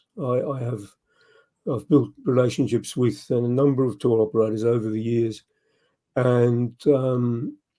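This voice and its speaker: Fairly slow, fairly even speech in an Australian accent with a dark, mellow tone. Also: man. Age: 70s. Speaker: motorcycle travel writer. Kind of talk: interview. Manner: halting, many fillers.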